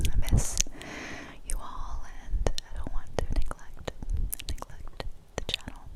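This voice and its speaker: A woman is whispering at a fairly slow pace, with long, frequent pauses. Noticeable background noise can be heard. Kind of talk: ASMR whisper ramble. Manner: whispered.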